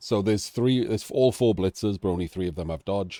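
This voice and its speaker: Speaking with a Welsh accent, a man has a fairly low pitch, a dark, mellow tone and ordinary pitch variation, recorded with a dry, close sound and no echo. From Wales. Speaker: game commentator. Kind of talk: live commentary. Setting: live stream. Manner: pitch rises when animated.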